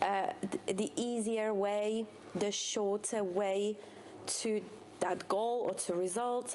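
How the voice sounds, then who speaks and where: Very slow and marked by long, frequent pauses, a woman's speech with a non-native accent keeps very even loudness and fairly even intonation at a medium pitch. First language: not English. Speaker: CrossFit coach. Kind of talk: podcast discussion. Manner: halting.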